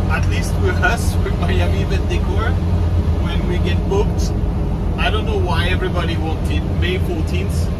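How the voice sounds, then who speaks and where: A man speaks at a moderate pace. Loud background noise surrounds him. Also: ordinary pitch variation. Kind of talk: casual vlog chat. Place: car.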